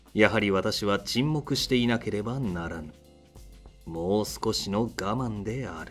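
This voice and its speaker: Music plays in the background as a man speaks at a very slow pace. His pitch is fairly low and his intonation lively. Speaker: voice actor. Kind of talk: audiobook-style literary reading.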